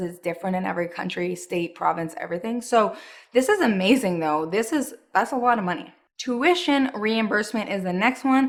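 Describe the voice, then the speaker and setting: A woman's voice with lively intonation at a moderate pace. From Montreal, Quebec, Canada. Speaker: anti-MLM vlogger, former barista. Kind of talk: casual vlog commentary. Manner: animated.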